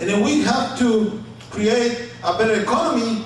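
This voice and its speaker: Over noticeable background noise and audible room echo, a man talks with a high pitch. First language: Spanish. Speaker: city council candidate. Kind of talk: candidate forum answer. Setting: banquet room forum with audience.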